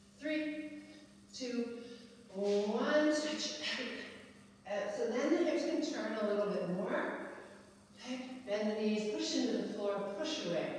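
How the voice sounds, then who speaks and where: A woman speaking at a fairly slow pace with lively intonation, long, frequent pauses, strong room echo and light background noise. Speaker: fitness instructor. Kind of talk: exercise class cueing. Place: gym. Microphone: camera far.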